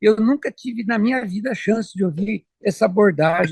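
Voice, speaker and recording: A man talks at a moderate pace with lively intonation, the sound dry and close with no echo. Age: 70s. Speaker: organization founder, host. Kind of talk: casual live-stream introduction. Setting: video call, outdoors by a river. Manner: halting.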